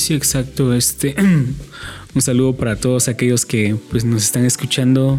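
A man talks with fairly even intonation while music plays behind him. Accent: Guatemalan. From Guatemala, San Marcos. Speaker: university student and rapper. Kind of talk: interview.

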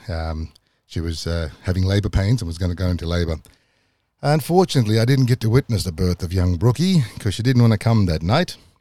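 A man with a very deep, low voice and a dark, mellow tone talks at a fairly quick pace. His intonation is lively, and the recording is very clean with a silent background. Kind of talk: personal storytelling monologue. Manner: casual, with frequent fillers.

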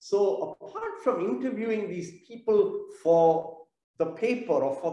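The pitch of this man's voice swings very widely as he talks fairly slowly. Room echo is audible. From South India (Chennai). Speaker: theatre business owner. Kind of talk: interview.

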